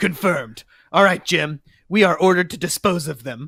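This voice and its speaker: A man's raspy, put-on character voice, high in pitch, at a moderate pace, with a dry, close sound and no echo. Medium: read story.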